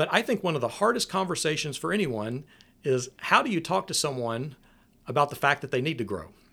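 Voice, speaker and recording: Over a silent background in a very clean recording, a man with a Southern US accent talks at a fairly quick pace with vocal fry, his fairly high pitch making very wide swings. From US South, Nashville, Tennessee. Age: 40s. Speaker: preaching minister. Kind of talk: casual chat.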